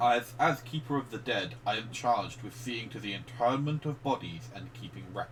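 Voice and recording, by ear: A natural voice reads the text aloud.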